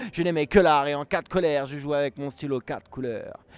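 Using a plain, everyday voice, a man speaks at a moderate pace with a fairly high pitch and fairly even intonation, in a dry, close sound with no echo. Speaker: slam event organizer and poet. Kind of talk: slam performance. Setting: bar.

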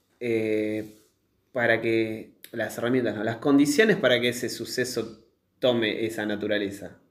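Audible room echo colors a man's voice as he talks at a moderate pace. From Argentina, Tigre (Buenos Aires). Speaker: podcast co-host. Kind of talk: casual chat.

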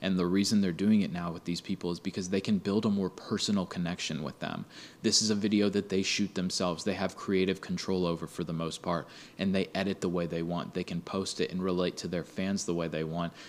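In a very clean recording with a silent background, a man with a very deep, low voice speaks fairly quickly in a flat monotone. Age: 20s. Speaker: podcast host. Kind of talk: casual monologue.

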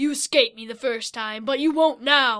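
A woman uses a put-on character voice at a high pitch and a moderate pace on a very clean recording with a silent background. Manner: menacing, gloating.

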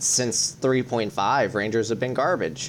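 Using vocal fry, a man speaks at medium pitch and a fairly slow pace. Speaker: podcast host. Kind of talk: casual chat.

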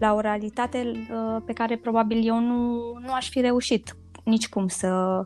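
Music plays behind a woman speaking at a fairly slow pace. Her fairly high voice keeps a fairly even intonation. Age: 40s. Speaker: bank economist and cancer survivor. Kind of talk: podcast interview, personal story. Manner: hesitant, many filler sounds.

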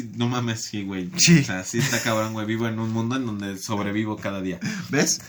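Amid noticeable background noise and audible room echo, a man speaks at medium pitch and a moderate pace with ordinary pitch variation. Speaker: podcast guest. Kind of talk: casual chat.

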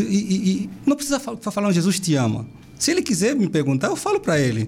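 Talking very fast, a man with a high voice makes very wide pitch swings. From Angola, Benguela. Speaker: missionary. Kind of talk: interview.

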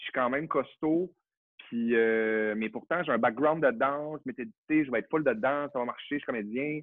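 Delivered at a medium speed, a plain, everyday voice rises and falls in a typical way. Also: man. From Quebec, Saguenay (Chicoutimi). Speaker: actor and drag queen. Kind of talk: casual chat.

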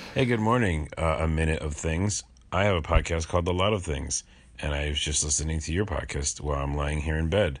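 A man uses a put-on character voice, raspy and very deep, talking at a fairly quick pace.

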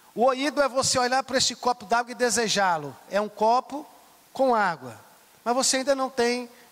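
Through noticeable background noise, a man with an extremely high voice talks at a moderate pace with ordinary pitch variation. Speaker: bishop. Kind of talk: sermon. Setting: church.

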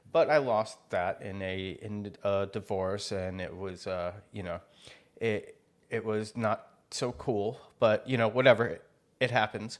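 A man with an unremarkable speaking voice talks at a fairly slow pace and a fairly low pitch. His intonation stays fairly even, while his loudness swings widely. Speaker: podcast co-host. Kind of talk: casual chat.

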